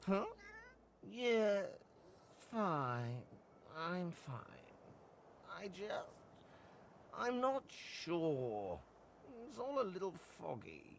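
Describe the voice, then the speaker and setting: A put-on character voice at a middle pitch, very slow, with long, frequent pauses. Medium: video game.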